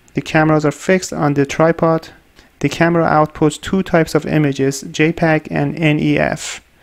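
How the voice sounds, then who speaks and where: A man with a non-native accent, fairly high pitch, monotone, flat intonation, very even loudness and a moderate pace. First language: not English. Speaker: researcher and tutorial maker. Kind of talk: tutorial.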